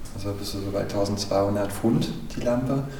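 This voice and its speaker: Noticeable background noise and audible room echo surround the speaker. He is a man with a fairly low pitch. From Saxony-Anhalt, Germany. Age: 30s. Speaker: manor house owner and make-up artist. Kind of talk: guided house tour and interview.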